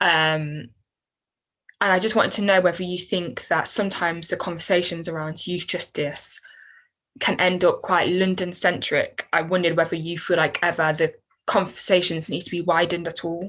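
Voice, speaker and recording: In a West Midlands accent, a woman with a fairly low pitch talks at a moderate pace with monotone, flat intonation against a quiet background. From Coventry, England. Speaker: interviewer. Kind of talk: interview.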